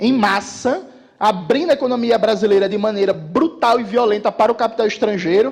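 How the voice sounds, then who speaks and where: Against noticeable background noise, a man talks at a fairly quick pace in a high pitch with ordinary pitch variation. His tone is animated, and his loudness stays very even. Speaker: political commentator. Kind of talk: political speech to live audience. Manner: fast.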